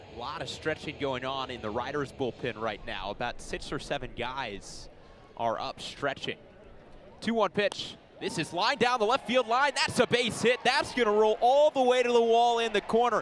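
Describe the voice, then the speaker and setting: With very wide pitch swings, a man talks in a high voice at a moderate pace. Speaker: baseball play-by-play broadcaster. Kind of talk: baseball radio play-by-play call.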